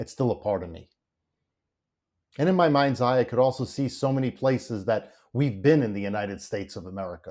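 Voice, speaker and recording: This is a man with a plain, everyday voice at medium pitch, talking at a moderate pace with ordinary pitch variation. The recording is very clean, with a silent background. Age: 60s. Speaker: memoir narrator. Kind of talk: reflective memoir narration. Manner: conversational, reflective.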